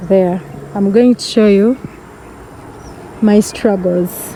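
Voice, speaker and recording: Noticeable background noise sits behind a woman speaking at a very slow pace. Her pitch variation is ordinary. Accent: non-native. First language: not English. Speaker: vlogger. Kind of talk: casual vlog narration. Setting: outdoors. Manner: animated.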